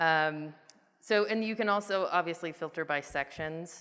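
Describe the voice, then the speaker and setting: A woman's very deep, low-pitched voice carries a bright, sharp tone and ordinary pitch variation. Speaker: software product manager. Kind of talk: conference presentation with live demo. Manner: casual, animated; halting, many fillers.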